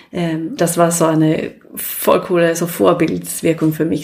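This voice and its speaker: A woman with a Swedish accent and a fairly low pitch. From Sweden. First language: Swedish (speaking German). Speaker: business consultant. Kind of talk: interview. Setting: living room. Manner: hesitant, many fillers.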